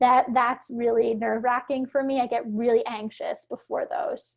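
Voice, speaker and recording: A woman with an American accent speaks in a high voice with fairly even intonation. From Philadelphia, US. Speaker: actor. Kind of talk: interview conversation. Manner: speaks fast and higher when nervous.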